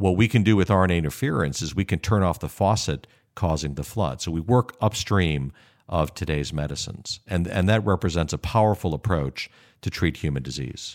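In an American accent, a man with a very deep, low pitch speaks fairly quickly with vocal fry and lively intonation, on a very clean recording with a silent background. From US Midwest, Chicago. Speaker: biotech CEO. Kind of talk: interview.

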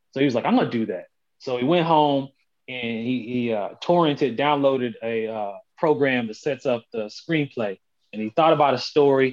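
In an unremarkable speaking voice, a man talks at a moderate pace and a medium pitch. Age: 30s. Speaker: podcast guest. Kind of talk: casual chat.

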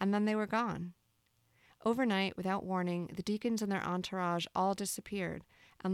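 A woman with an unremarkable speaking voice talks at a medium pitch and a moderate pace, her intonation fairly even. The recording is very clean with a silent background, and the sound is dry and close with no echo. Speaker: podcast host reading aloud. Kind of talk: literary audiobook reading of a novel, first-person narration.

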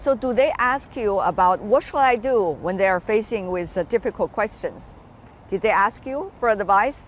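A woman's fairly high-pitched, lively intonation at a moderate pace, in an ordinary speaking voice. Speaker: TV news interviewer. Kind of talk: interview.

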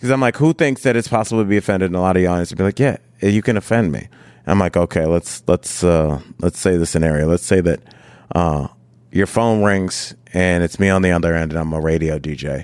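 A man's very deep, low voice at a very fast pace, with a dry, close sound and no echo. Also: ordinary pitch variation. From Ohio, Cleveland. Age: 40s. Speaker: comedian and TV host. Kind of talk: casual interview chat. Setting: hotel room.

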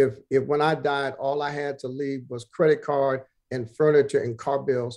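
A fairly high-pitched man with an American accent and monotone, flat intonation. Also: moderate pace. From Brooklyn, New York. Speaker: pastor. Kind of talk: interview.

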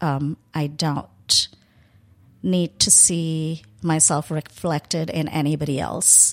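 A woman speaks with an American accent in a very deep, low voice, her intonation fairly even. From India. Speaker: restaurateur and chef. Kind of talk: casual interview.

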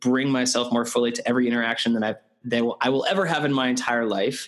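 There is noticeable background noise behind this man. He speaks with a Canadian accent at a medium pitch. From Canada. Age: 30s. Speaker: TEDx event organizer and speaker coach. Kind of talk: interview conversation.

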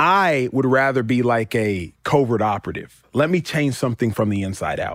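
An ordinary speaking voice, this man talks at a medium pitch and moderate pace with lively intonation and hardly any pauses, in a very clean recording with a silent background. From US South, Dallas, Texas. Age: 30s. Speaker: retired football player turned sports talk host. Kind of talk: casual chat.

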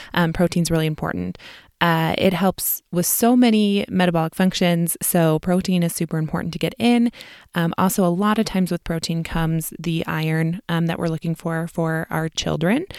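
In a very clean recording with a silent background and a dry, close sound with no echo, a woman with a Midwestern US accent speaks at a moderate pace, with a fairly low pitch and fairly even intonation. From US Midwest. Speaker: registered dietitian and podcast host. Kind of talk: educational podcast monologue, casual. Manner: friendly, conversational, with fillers.

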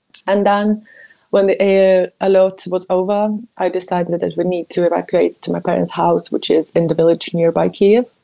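At a moderate pace, a woman talks with a Ukrainian accent. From Ukraine, Kyiv. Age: 20s. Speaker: journalist. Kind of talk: personal testimony.

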